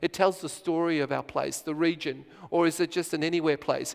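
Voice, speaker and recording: A fairly high-pitched man's voice, fairly quick and monotone, with flat intonation. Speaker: conference speaker. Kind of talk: conference presentation. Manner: fast.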